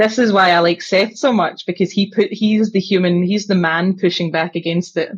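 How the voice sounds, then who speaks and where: A woman speaks at a moderate pace in a medium pitch, her somewhat breathy voice held at very even loudness with fairly even intonation. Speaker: podcast guest, hobby content creator. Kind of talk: casual podcast discussion.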